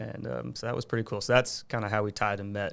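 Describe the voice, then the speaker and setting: Someone with an American accent speaks at a fairly quick pace in a very clean recording with a silent background. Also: man. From Long Island, New York. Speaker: foundation co-founder. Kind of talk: casual chat.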